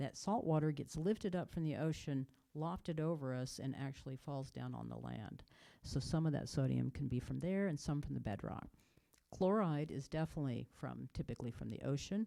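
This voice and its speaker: The tone is dark and mellow, with ordinary pitch variation. The pace is fairly quick. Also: woman, very deep, low pitch for a woman. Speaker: water chemistry scientist. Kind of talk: informational presentation. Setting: public meeting, also on video call.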